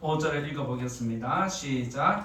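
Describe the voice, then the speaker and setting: Over noticeable background noise and audible room echo, a man with a fairly high voice speaks at a fairly slow pace. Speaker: pastor. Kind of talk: sermon. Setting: church.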